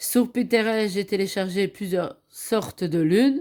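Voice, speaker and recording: A woman at medium pitch, ordinary pitch variation, a fairly slow pace, and a very clean recording with a silent background. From Belgium. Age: 50s. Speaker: craft hobby youtuber. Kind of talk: craft show-and-tell tutorial. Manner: hesitant, with fillers.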